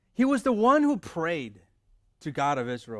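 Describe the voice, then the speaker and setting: The voice moves through very wide pitch swings in a very clean recording with a silent background. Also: man. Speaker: pastor. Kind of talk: sermon. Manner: conversational.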